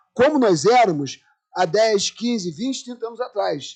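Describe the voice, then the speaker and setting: Pitched high, a man speaks at a moderate pace with very wide pitch swings. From Brazil, Rio de Janeiro (Irajá). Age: 60s. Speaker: anthropologist, panel speaker. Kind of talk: lecture.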